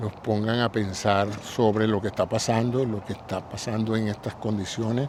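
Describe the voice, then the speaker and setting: A man's fairly low voice at a moderate pace, monotone and flat, with hardly any pauses, over noticeable background noise. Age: 70s. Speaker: podcast host. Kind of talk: solo reflective monologue. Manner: conversational, reflective.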